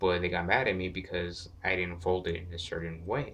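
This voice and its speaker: A man's quiet, very deep, low voice at a moderate pace. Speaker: gaming YouTuber. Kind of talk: casual vlog, game collection showcase. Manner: quiet, lowered voice; hesitant, many fillers.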